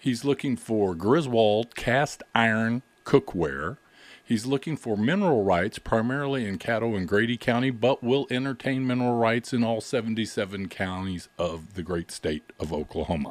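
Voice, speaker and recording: A man with a normal speaking voice talks at a moderate pace and medium pitch with lively intonation. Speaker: radio co-host. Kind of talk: casual radio call-in chat.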